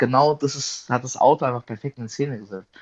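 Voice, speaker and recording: A man speaks at a medium pitch with fairly even intonation in an ordinary speaking voice. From southern Hesse, Germany (Darmstadt). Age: 20s. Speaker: car photographer. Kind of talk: casual chat.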